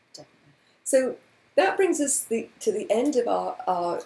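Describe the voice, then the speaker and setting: Her tone is dark, mellow and somewhat breathy, with very wide pitch swings. The woman keeps a moderate pace. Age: 60s. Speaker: radio host and life coach author. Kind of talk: casual chat. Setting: radio studio.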